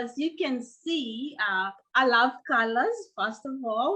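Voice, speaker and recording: In a raised, projected voice with a bright, sharp tone, a woman speaks at a very slow pace. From Kenya, coast. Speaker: professor. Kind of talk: lecture. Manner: many filler uh's.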